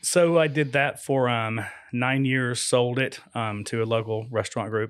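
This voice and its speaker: A man's medium-pitched voice in an American accent, an unremarkable speaking voice with fairly even intonation. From Florida. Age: 50s. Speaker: farm shop owner. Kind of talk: casual radio interview. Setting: studio.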